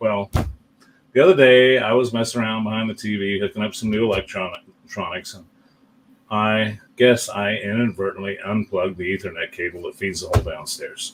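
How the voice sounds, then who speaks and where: Speaking with a plain, everyday voice, a man of fairly low pitch moves at a fairly quick pace with fairly even intonation and big swings in loudness. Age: 60s. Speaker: pinball tournament streamer. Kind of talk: casual live stream chat. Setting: live stream.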